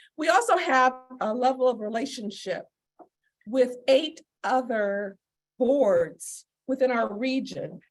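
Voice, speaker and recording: A loud, high-pitched woman's voice with lively intonation, very slow pace, and long, frequent pauses. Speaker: public agency leader. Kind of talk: public presentation. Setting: meeting room with audience and video call.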